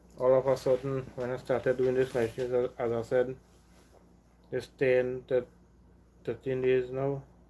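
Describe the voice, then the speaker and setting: A man's medium-pitched, dark, mellow voice at a moderate pace, monotone and flat, with long, frequent pauses. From Trinidad and Tobago. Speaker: live streamer. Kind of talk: casual chat. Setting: live stream at home. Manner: halting, repetitive.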